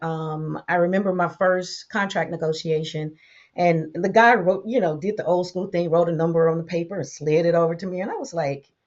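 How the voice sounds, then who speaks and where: With an American accent, a woman with a normal speaking voice talks at a fairly quick pace, her pitch fairly low and her intonation fairly even. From Tampa, Florida. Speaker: radio host; voice-over talent. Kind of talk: interview answer.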